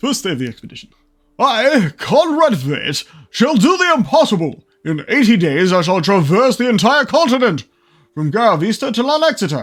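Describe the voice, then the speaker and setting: A man performs a put-on character voice at a high pitch with very wide pitch swings. The recording is very clean, with a silent background. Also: moderate pace. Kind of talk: upper-class Victorian. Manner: pompous, boastful.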